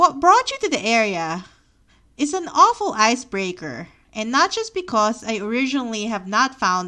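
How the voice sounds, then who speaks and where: In a Filipino accent, a woman speaks at a moderate pace in a fairly high pitch, with a bright, sharp tone and very wide pitch swings against a quiet background. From Philippines, near Manila. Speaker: memoir podcaster. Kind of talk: reading aloud of own memoir.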